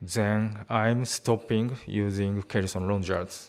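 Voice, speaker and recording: A man speaks in a fairly low voice with a Japanese accent. His intonation stays monotone and flat. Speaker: spine surgeon. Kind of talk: conference presentation. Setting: conference hall.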